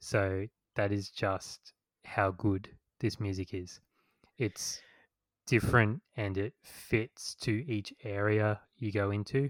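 A man's fairly low voice at a very slow pace with long, frequent pauses, dry and close with no echo, on a very clean recording over a silent background. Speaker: podcast host. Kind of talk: casual chat, podcast interview.

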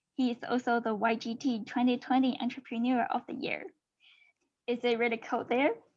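A woman with a Chinese accent speaks at a moderate pace in a high pitch against a quiet background. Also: ordinary pitch variation. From China. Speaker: podcast host. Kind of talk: interview.

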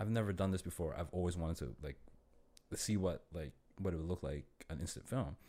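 With a Toronto accent, a man speaks at a fairly quick pace in a very deep, low pitch with a dark, mellow tone and vocal fry. His pitch variation is ordinary, and he takes long, frequent pauses. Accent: Canadian (Toronto). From Toronto, Canada. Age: 30s. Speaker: photographer. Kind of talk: casual chat. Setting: studio.

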